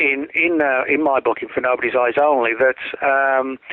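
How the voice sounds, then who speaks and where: Fairly high in pitch, a man with an English accent speaks with fairly even intonation. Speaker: author and conspiracy researcher. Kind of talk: interview.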